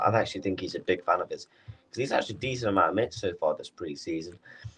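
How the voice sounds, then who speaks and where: A somewhat breathy man's voice with a British accent. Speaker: football watchalong streamer. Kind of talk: live stream chat. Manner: casual, halting.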